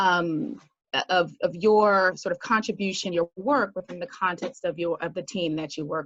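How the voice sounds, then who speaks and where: Speaking with an American accent, a woman uses a fairly low pitch and ordinary pitch variation at a moderate pace. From United States. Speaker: business consultant and entrepreneur. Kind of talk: talk with slides. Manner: halting, many fillers.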